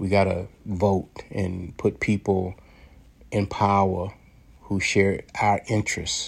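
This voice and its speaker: Very slow and somewhat breathy, a man speaks in an American accent at a fairly low pitch with flat, monotone intonation. The recording is very clean, with a silent background. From United States. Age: 60s. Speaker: commentary podcaster. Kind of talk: monologue commentary. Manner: halting, repeated words.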